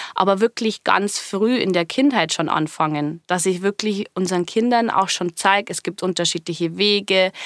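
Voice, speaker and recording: A woman with a slight Bavarian accent speaks at a moderate pace and medium pitch, with ordinary pitch variation and hardly any pauses, in a dry, close sound with no echo. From Bavarian Forest, Bavaria. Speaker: business coach. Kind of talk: interview. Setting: studio.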